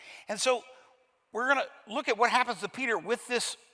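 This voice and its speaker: A man with a Kentucky accent speaks in a raised, projected voice at a moderate pace. His pitch is high and his tone bright and sharp. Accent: Kentucky Southern US. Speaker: pastor. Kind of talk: sermon. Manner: animated.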